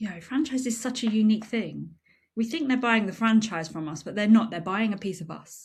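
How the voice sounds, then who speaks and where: Her voice somewhat breathy, a woman with fairly high pitch and lively intonation comes through on a very clean recording with a silent background. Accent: British. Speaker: franchise consultant and podcast host. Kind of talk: unscripted podcast monologue. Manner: animated; varied natural intonation.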